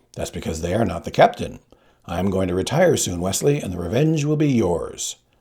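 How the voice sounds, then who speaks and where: A raspy, put-on character voice from a man, fairly low in pitch and at a fairly quick pace. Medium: read story. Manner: wry, casually threatening.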